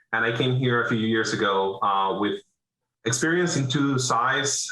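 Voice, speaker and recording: The speaker has a Venezuelan accent. The pace is moderate. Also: man. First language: Spanish. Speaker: business owner, roofing contractor. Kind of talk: interview. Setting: video call.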